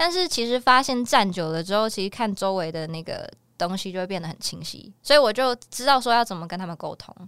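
On a very clean recording with a silent background, a woman with a normal speaking voice talks at a medium pitch with lively intonation. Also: fairly quick pace, hardly any pauses, big swings in loudness. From Taiwan, Miaoli (Hakka). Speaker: singer-songwriter and actor. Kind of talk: interview.

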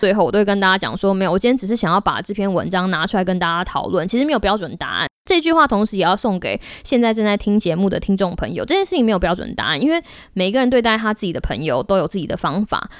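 A woman speaks with an animated tone and lively intonation. Her pace is very fast. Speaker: podcast host. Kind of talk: casual solo podcast talk.

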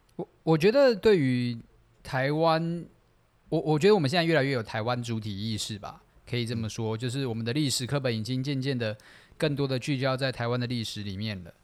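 A man's medium-pitched voice at a fairly quick pace, with ordinary pitch variation, on a very clean recording against a silent background. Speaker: podcast co-host. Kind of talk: casual chat.

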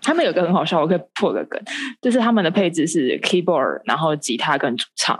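A woman speaks at a very fast pace, her pitch sitting in the medium range. Her intonation is lively. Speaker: medical student and amateur theatre actor. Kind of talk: casual chat. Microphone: poor internet connection.

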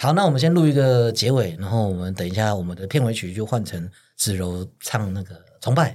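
A man with an unremarkable speaking voice talks at a fairly quick pace in a fairly low pitch. His intonation is lively, on a very clean recording with a silent background. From Taiwan, Pingtung. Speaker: podcast host. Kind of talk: casual chat. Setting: studio.

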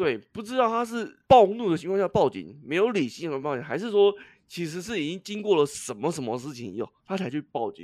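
A man talks at a fairly quick pace with hardly any pauses, his high pitch making very wide swings. His loudness swings a lot too, on a very clean recording with a silent background. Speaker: podcast co-host. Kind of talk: casual chat.

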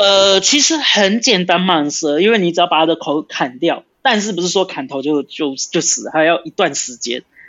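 With a slight Brazilian accent, a man speaks in a high pitch with lively intonation and hardly any pauses. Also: moderate pace. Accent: slight Brazilian accent in Mandarin. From Brazil (São Paulo), Brazilian-Taiwanese. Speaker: former soldier and police officer. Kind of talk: casual interview. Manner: halting.

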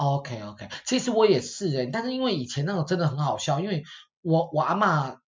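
Pitched fairly high, a man talks at a fairly quick pace with very wide pitch swings. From Taiwan. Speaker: podcast host. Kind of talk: casual chat.

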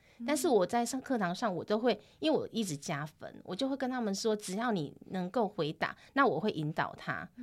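Her pitch swings very widely, and she barely pauses. The woman's voice sits fairly high. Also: moderate pace. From Taiwan, Tainan. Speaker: Taiwanese language teacher. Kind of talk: casual interview chat.

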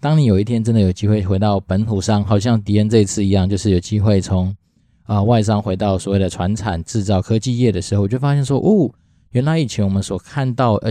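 His tone is dark and mellow, set at a fairly low pitch. This man moves at a fairly quick pace with fairly even intonation. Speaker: podcast host, former foreign-company employee. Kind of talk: solo podcast monologue. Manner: casual, many filler sounds.

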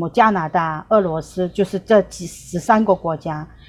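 In a Korean accent, a woman with a fairly low pitch and ordinary pitch variation speaks at a very slow pace. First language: Korean (speaking Chinese). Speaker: tour guide. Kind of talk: remote interview. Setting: remote call. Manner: halting, many fillers.

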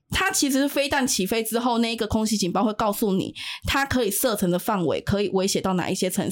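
Someone talks at a very fast clip on a very clean recording with a silent background. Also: woman. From Taiwan. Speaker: activist returning from Ukraine frontline visit. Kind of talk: interview about war observations.

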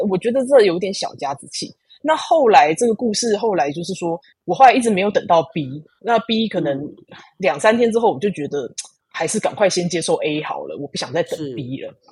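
A somewhat breathy woman's voice of medium pitch, at a fairly quick pace, with very wide pitch swings and big swings in loudness. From Taiwan. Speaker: engineering program manager. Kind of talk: casual interview.

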